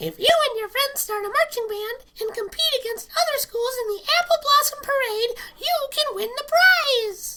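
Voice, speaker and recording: A female-sounding, squeaky, put-on character voice sits at an extremely high pitch. The pace is moderate. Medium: read story. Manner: firm, instructive.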